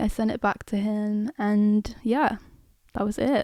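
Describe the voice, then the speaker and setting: A woman's dark, mellow tone with a British accent, in a dry, close sound with no echo. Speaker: musician. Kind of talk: interview answer.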